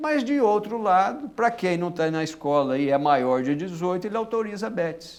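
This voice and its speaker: The pitch swings very widely. There are hardly any pauses. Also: man, high pitch for a man, moderate pace. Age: 60s. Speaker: public prosecutor. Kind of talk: interview. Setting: studio. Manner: animated.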